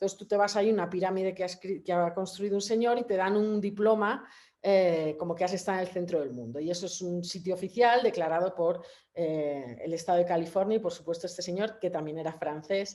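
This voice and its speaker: Over a quiet background, a woman talks at a fairly quick pace and medium pitch with ordinary pitch variation. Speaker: photographer. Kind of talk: presentation of own work at a public talk. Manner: fast; hesitant, many repetitions and fillers.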